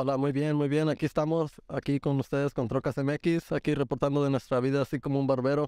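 A man speaks at a fairly quick pace with hardly any pauses, his fairly high pitch paired with a dark, mellow tone, monotone, flat intonation and very even loudness, in a dry sound with no echo against a quiet background. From Texas, Laredo; Texas. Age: 20s. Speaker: barber; podcast guest. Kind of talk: casual interview. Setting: informal gathering with beers. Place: shop. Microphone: studio mic.

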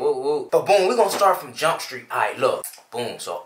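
Audible room echo surrounds the recording. A man talks at a fairly quick pace. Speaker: vlogger. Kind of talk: casual storytime vlog chat. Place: home room. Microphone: camera far.

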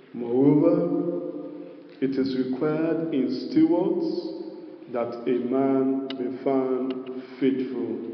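A man speaks at a very slow pace. The room echo is audible. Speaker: preacher. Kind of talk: sermon. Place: hall. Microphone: handheld.

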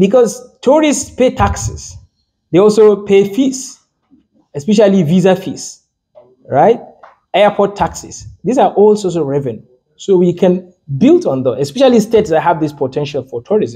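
Over a quiet background, a man with a high pitch and a dark, mellow tone speaks at a moderate pace, with very wide pitch swings and long, frequent pauses. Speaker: lecturer. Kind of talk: lecture. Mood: lively, occasionally laughing. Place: meeting room. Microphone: handheld.

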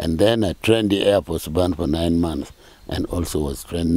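A man's very deep, low voice, dark and mellow in tone, with ordinary pitch variation, a moderate pace and a dry sound with no echo. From Uganda, Apac district. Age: 80s+. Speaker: retired army band director and priest. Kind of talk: interview answer. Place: street. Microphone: handheld.

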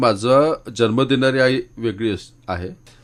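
Speaking with a plain, everyday voice, a man holds a medium pitch and varies it in an ordinary way. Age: 50s. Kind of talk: interview. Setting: radio studio.

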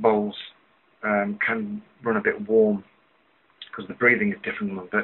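A man talks at a moderate pace. His intonation is monotone and flat. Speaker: pipe smoker reviewing a pipe. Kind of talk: casual vlog chat. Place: home room. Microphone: webcam.

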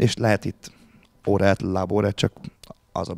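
Very deep and low, the man's dark, mellow voice stays monotone and flat at a moderate pace. The sound is dry with no echo over a quiet background. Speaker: university lecturer. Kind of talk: panel discussion. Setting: stage with audience. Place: meeting room. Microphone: handheld.

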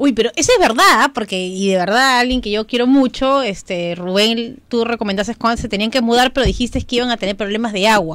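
Against a quiet background, the speaker moves at a fairly quick pace with hardly any pauses. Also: woman, fairly high pitch for a woman, ordinary pitch variation, dry sound with no echo. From Callao, Peru; Peru. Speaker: radio co-host. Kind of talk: radio call-in show. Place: studio. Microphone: studio mic.

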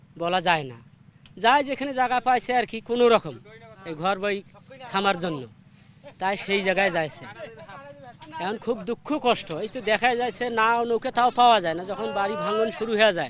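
A high-pitched male voice with ordinary pitch variation over noticeable background noise. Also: dry sound with no echo. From northern Bangladesh. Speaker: river erosion victim. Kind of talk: interview testimony. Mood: distressed, lamenting hardship. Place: waterside.

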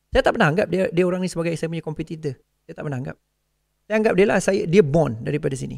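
Someone talks very fast with ordinary pitch variation over a quiet background. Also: man. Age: 40s. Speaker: forex trading coach. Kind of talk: motivational talk. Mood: earnest, heartfelt. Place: studio. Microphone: studio mic.

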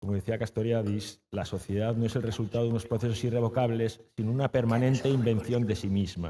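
A man's dark, mellow, somewhat breathy voice at a fairly quick pace, with hardly any pauses, very even loudness and fairly even intonation. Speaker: event moderator. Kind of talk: moderated public talk. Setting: stage with audience. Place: hall. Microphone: podium.

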